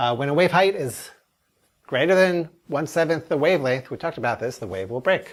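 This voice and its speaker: On a very clean recording with a silent background, a man with a fairly high pitch and vocal fry speaks at a fairly quick pace with lively intonation. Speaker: oceanography lecturer. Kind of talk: recorded lecture. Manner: casual, conversational.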